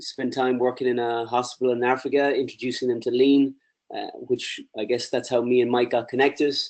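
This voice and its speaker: Speaking at a moderate pace, a man with an Irish accent keeps a flat, monotone intonation. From Ireland. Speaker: presenter, lean consultant. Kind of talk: webinar presentation.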